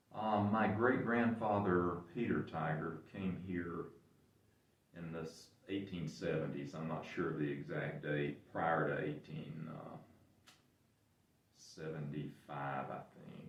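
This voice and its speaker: A man with an Appalachian accent speaks at a very slow pace in a very deep, low pitch, leaving long, frequent pauses. His pitch varies in an ordinary way, and there is audible room echo. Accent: Southern Appalachian American. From western North Carolina. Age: 70s. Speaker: local business owner. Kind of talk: interview. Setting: museum. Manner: halting.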